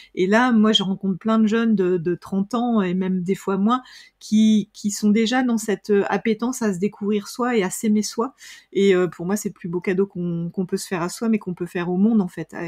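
At a moderate pace, a woman speaks at medium pitch on a very clean recording with a silent background and a dry, close sound with no echo. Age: 50s. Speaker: author, speaker and human relations trainer. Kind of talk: casual interview. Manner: energetic; hesitant, many fillers.

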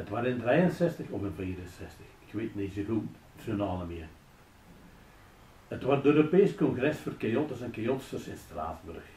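A man with a Belgian Limburg accent, medium pitch, very wide pitch swings, a dark, mellow, somewhat breathy tone, a fairly slow pace, long, frequent pauses and audible room echo. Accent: Flemish Limburg local dialect. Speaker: local dialect storyteller. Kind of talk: humorous story read in local dialect. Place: office.

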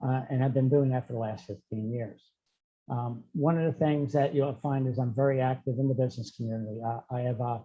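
This is an unremarkable speaking voice with an American accent. It moves at a fairly quick pace with fairly even intonation. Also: man, medium pitch for a man. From New Jersey, Essex County. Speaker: political candidate. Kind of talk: candidate statement. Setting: video call.

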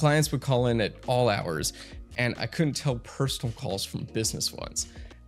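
Faint music plays in the background. A man speaks over it at a moderate pace. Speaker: tech reviewer. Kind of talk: product review commentary. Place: studio. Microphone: studio mic.

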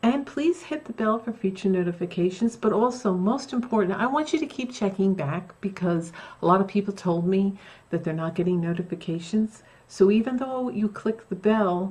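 A woman is speaking at a moderate pace. Her intonation is lively. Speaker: craft vlogger. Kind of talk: casual vlog chat. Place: home room.

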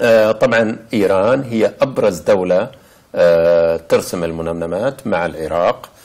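Speech comes at a fairly slow pace against a quiet background. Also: man. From Saudi Arabia. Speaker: visual artist; interviewee. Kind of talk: interview; interview answer. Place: home room. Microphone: lapel.

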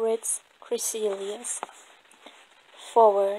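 This woman, with a non-native accent, talks very slowly. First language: non-native English speaker. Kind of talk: nonfiction book reading. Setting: outdoors.

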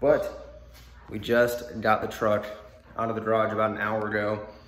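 Over audible room echo, a man talks at a moderate pace. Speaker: car vlogger. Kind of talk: casual vlog chat. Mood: sleepy, slightly scattered. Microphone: phone near.

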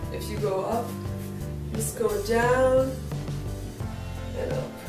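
With clear music in the background and audible room echo, a woman speaks at a very slow pace. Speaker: professional dancer and fitness instructor. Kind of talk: stretching tutorial talk to camera. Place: home room. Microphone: camera far.

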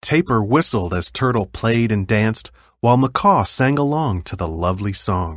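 Someone reads aloud in a natural voice. The intonation rises and falls in a lively way.

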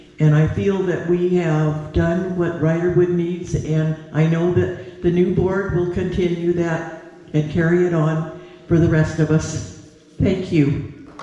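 A man speaks in a high pitch with monotone, flat intonation and very even loudness. Noticeable background noise and audible room echo fill the recording. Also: fairly slow pace. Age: 80s+. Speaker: outgoing board member. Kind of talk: farewell speech. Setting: town meeting.

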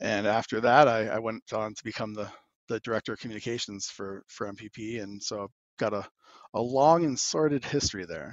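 A man with a normal speaking voice and medium pitch talks at a fairly quick pace, with big swings in loudness. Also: ordinary pitch variation. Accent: American. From Arizona. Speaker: cannabis policy advocate. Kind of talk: casual interview.

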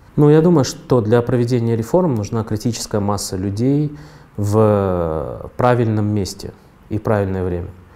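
A man speaks with a fairly low pitch and a dark, mellow tone. His intonation is lively while his pace stays fairly slow. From Kyrgyzstan. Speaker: entrepreneur; interviewee. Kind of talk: interview monologue. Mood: calm, thoughtful, mildly ironic. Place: studio. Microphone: lapel.

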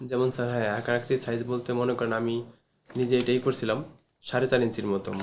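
Flat and monotone, a man talks at a medium pitch. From Munshiganj, Bangladesh. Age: 30s. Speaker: patient. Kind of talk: patient interview. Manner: halting.

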